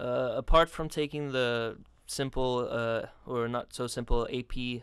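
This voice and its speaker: A man speaks on a very clean recording with a silent background. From South Africa. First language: not English. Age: 20s. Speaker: student and writer. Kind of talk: radio interview.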